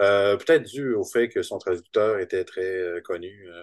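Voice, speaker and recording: A man speaks with a Quebec accent over a quiet background. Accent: Québécois French. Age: 50s. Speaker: comic book artist. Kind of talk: interview.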